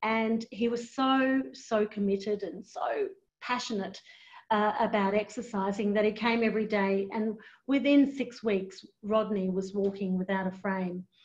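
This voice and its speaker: A woman's somewhat breathy voice moves at a fairly slow pace, its pitch varying in an ordinary way. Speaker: aged care executive; presenter. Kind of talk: webinar presentation. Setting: online webinar. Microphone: video call.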